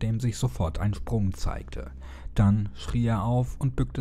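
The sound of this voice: Someone reads aloud in an unforced reading voice.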